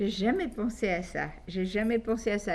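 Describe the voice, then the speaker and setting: A woman talks at a fairly slow tempo with fairly even intonation. Audible room echo hangs around her voice. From Belgium. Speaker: guest interviewee. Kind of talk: interview on a call-in program. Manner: halting, with many hesitations.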